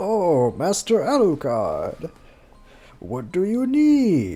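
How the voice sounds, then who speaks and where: Very slowly, a man performs a put-on character voice pitched high. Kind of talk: deferential, addressing master.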